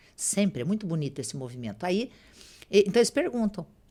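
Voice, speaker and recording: Talking at a very fast pace, a woman uses a medium pitch with very wide pitch swings and some vocal fry. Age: 60s. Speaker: spiritual medium and author. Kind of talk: podcast interview.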